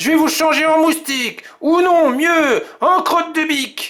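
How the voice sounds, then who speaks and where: A man puts on a gruff character voice at an extremely high pitch, speaking at a fairly slow pace. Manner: annoyed, threatening.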